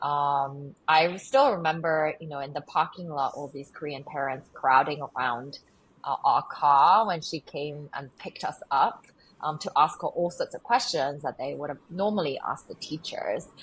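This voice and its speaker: A woman's very deep, low voice, somewhat breathy, at a moderate pace, with ordinary pitch variation and big swings in loudness. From England, moved from Korea at age eight. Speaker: nonprofit founder and CEO. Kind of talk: interview.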